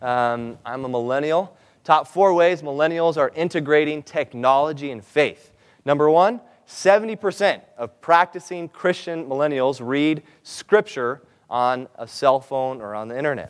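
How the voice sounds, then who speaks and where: A plain, everyday voice from a man with a fairly high pitch, moderate pace, ordinary pitch variation and big swings in loudness, on a very clean recording with a silent background. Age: 20s. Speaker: seminar presenter. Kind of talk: seminar talk.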